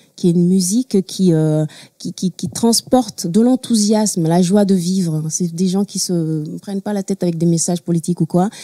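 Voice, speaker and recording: A woman with a Togolese accent speaks at a moderate pace in a medium pitch with ordinary pitch variation, her tone dark and mellow, the sound dry and close with no echo. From Togo, Lomé. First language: Mina (speaking French). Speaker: singer-songwriter. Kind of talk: talk show interview. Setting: studio with audience.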